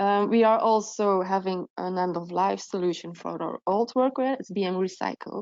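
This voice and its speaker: Speaking with a non-native accent, a woman keeps a medium pitch. Her pace is moderate and her intonation fairly even. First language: not English. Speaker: procurement officer. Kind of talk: webinar presentation. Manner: halting, many fillers.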